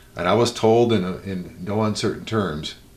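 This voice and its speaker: A man talks at a moderate speed, his voice carrying audible room echo. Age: 60s. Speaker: musician. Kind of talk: interview. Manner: halting.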